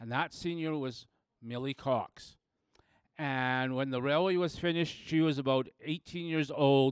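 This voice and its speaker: An ordinary speaking voice moves at a moderate pace with ordinary pitch variation, dry and close with no echo on a very clean recording with a silent background. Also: man. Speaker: museum village worker and writer. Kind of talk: storytelling.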